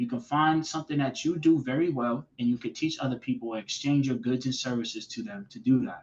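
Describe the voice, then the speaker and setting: A man with an American accent speaks at a fairly quick pace. He has an ordinary speaking voice, medium in pitch, with ordinary pitch variation. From Boston, Massachusetts. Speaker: finance manager. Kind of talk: podcast interview answer.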